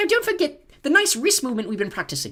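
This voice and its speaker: A man puts on a squeaky character voice, pitched extremely high, with very wide pitch swings and a very fast pace. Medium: read story.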